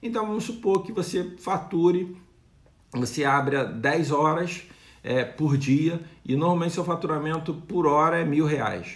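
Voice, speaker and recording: This man's voice is high-pitched, and he takes a fairly slow pace. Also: ordinary pitch variation. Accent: Brazilian. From Brazil. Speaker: retail consultant, video creator. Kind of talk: tutorial-style business advice; around 2:25 he mimics a supermarket loudspeaker announcer. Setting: video channel, direct to camera. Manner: animated, pitchman-like, punchy, brisk sales-patter delivery when doing the announcer bit; informal, explanatory, with hesitations and repeated words. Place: home room. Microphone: phone near.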